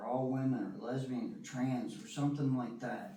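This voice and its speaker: A man speaks at a medium pitch with an American accent. His pitch varies in an ordinary way. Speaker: recovering alcoholic sharing his story. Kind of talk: testimony. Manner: fast; animated.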